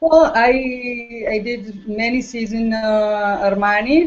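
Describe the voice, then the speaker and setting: A woman speaks with ordinary pitch variation. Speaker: fashion show makeup artist. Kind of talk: interview. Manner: halting; calm.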